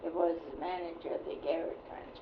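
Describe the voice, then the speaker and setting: She talks fairly slowly while noticeable noise fills the background. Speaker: retired nurse. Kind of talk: oral history interview answer. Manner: sassy.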